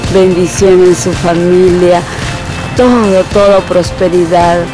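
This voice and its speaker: Over clear music in the background, a woman with a fairly low pitch speaks very slowly with fairly even intonation, the sound dry with no echo. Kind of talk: emotional religious thanksgiving speech. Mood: moved, grateful. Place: street. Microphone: phone near.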